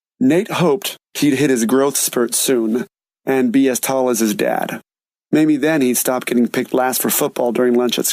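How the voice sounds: The voice is a natural reading voice. Behind it, the background is quiet.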